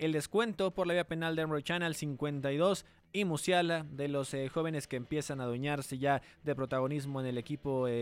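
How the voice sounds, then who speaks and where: With music in the background, a man at a fairly high pitch talks at a moderate pace and with ordinary pitch variation. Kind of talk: radio sports panel discussion, match analysis. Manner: conversational, fluent, analytical.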